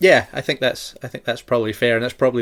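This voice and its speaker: A man with a Shetland accent speaks with monotone, flat intonation. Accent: Shetland Scottish. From Shetland, Scotland. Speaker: podcast host. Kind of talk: casual chat.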